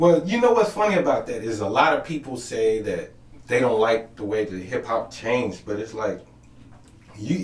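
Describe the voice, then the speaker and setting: With noticeable background noise behind him, a man talks at a moderate pace, his pitch swinging very widely. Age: 30s. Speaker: podcast host. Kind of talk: casual interview chat.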